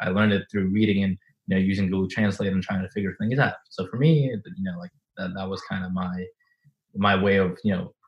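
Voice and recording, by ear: A man talks at a fairly quick pace in a low pitch with a slightly husky edge and fairly even intonation.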